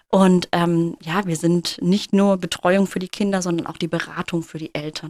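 A woman with a plain, everyday voice speaks at a fairly low pitch, at a moderate pace and with fairly even intonation. She leaves hardly any pauses, and the sound is dry and close with no echo. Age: 30s. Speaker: kindergarten teacher. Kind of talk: interview.

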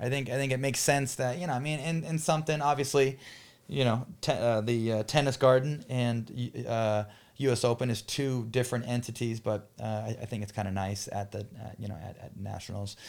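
This man speaks in an ordinary speaking voice at medium pitch with ordinary pitch variation and a fairly quick pace, on a very clean recording with a silent background. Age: 30s. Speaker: pickleball pro and podcast host. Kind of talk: casual chat.

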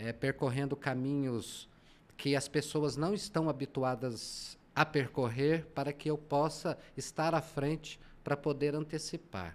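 On a very clean recording with a silent background, a man with a plain, everyday voice speaks at a fairly slow pace and a fairly high pitch with ordinary pitch variation. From Goiás, Brazil (rural, Trindade). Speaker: journalist and business consultant. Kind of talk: interview.

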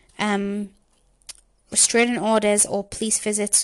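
Her pitch fairly high, a woman speaks in a monotone, flat intonation at a moderate pace. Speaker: true crime podcaster. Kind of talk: scripted narration of a case with casual intro. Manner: filler-heavy, hesitant.

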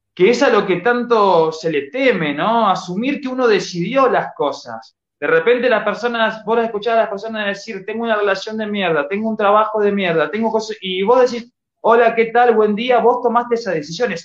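At a moderate pace and with hardly any pauses, a man speaks in a high pitch with lively intonation. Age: 30s. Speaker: artist and social media motivator. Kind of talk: casual interview chat.

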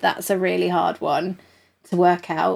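In a very clean recording with a silent background, a woman of medium pitch talks at a very slow pace. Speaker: podcast host. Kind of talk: casual chat. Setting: live Instagram stream. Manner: animated.

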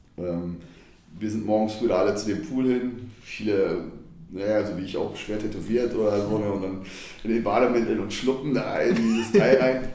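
Over music in the background and audible room echo, a man speaks in a fairly low voice with fairly even intonation. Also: moderate pace. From Düsseldorf, Germany. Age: 40s. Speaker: football fan, former hooligan. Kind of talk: casual interview.

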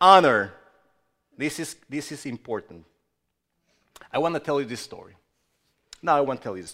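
At a moderate pace, a man with a fairly high pitch speaks in a bright, sharp tone with lively intonation, big swings in loudness, and long, frequent pauses. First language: not English. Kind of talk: sermon. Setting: church. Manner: halting.

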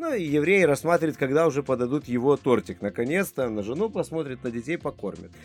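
In a very clean recording with a silent background, a man races along at a very fast pace with hardly any pauses, his fairly high voice full of lively intonation. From Lithuania. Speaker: guest from Lithuania. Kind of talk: casual chat.

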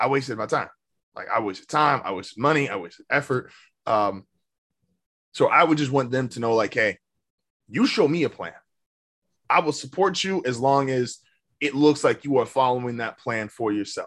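An American-accented man speaks with an animated tone and lively intonation at a medium pitch. His pace is moderate, broken by long, frequent pauses. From Indiana, US Midwest. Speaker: podcast host. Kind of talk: casual banter podcast chat. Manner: joking, animated.

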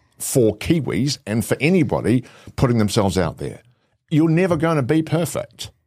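With a New Zealand accent, a man speaks at a moderate pace and fairly high pitch, his intonation lively and his tone dark and mellow with vocal fry. The recording is very clean, with a silent background. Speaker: presentation and video coach. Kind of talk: interview conversation.

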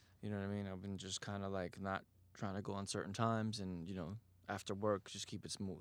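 A man with a fairly low pitch rattles along at a very fast pace in an American accent, his intonation monotone and flat. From Queens, New York. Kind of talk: casual chat.

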